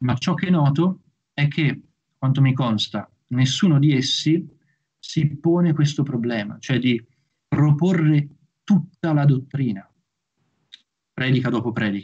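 A somewhat breathy man at a fairly slow pace, with long, frequent pauses, ordinary pitch variation and a quiet background. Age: young. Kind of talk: lecture. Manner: formal. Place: home room. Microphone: video call.

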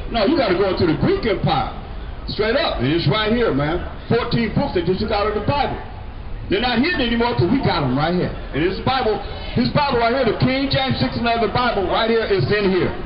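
A man with an animated tone and a high pitch, speaking fairly quickly with very wide pitch swings, over noticeable background noise. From US West Coast. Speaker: street preacher. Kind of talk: street preaching. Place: street. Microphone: camera far.

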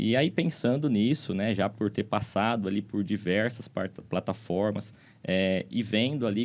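Speaking at a fairly slow pace with hardly any pauses, a man keeps a very even loudness at a fairly low pitch. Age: 30s. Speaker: legal tech entrepreneur; guest. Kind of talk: podcast conversation. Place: studio. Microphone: studio mic.

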